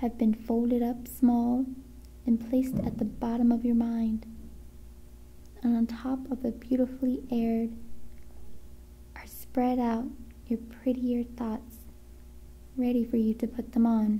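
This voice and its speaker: The speech is flat and monotone, broken by long, frequent pauses. Noticeable background noise runs underneath. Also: woman, fairly high pitch for a woman. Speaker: ASMR creator. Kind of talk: ASMR book reading. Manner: whispered, soft-spoken.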